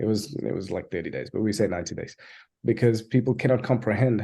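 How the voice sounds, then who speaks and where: Against a quiet background, a man talks at a fairly quick pace in a fairly low, dark, mellow voice with ordinary pitch variation. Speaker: software agency founder. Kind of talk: webinar presentation. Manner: fast; animated.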